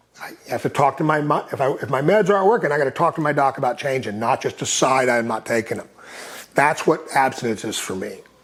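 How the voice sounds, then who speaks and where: Speaking very fast with an American accent, a man uses lively intonation at a fairly high pitch. Noticeable background noise can be heard. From Texas, Austin. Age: 60s. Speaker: recovery advocate. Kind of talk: casual interview conversation.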